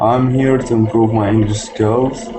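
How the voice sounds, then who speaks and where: A man speaks with an Arabic accent. His pace is very slow. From Egypt. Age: 20s. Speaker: language student. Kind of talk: class introduction. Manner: halting.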